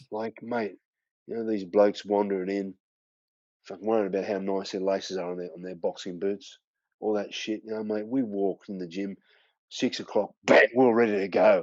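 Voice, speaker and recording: A man with an Australian accent speaks at a fairly quick pace in a fairly low pitch. His intonation is monotone and flat, while his loudness swings widely. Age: 50s. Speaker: former kickboxing world champion. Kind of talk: podcast interview.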